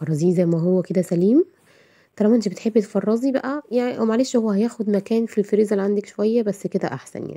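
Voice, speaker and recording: At a very fast pace, a woman speaks in a dark, mellow tone. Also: medium pitch for a woman, ordinary pitch variation. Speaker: cooking channel host. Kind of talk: cooking tutorial. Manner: casual, chatty.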